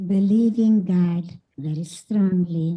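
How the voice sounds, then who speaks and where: Somewhat breathy and dark, mellow in tone, a woman with a non-native accent speaks with ordinary pitch variation. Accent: foreign. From Carpathian Mountains, Czechoslovakia. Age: 90s. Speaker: Holocaust survivor. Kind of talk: testimony.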